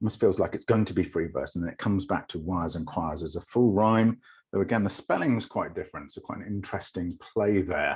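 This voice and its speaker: A man with an RP accent speaks in a very deep, low pitch, somewhat breathy, with ordinary pitch variation. He goes at a very fast pace with hardly any pauses on a very clean recording with a silent background. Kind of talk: clipped, non-rhotic. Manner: analytical, explaining poetry.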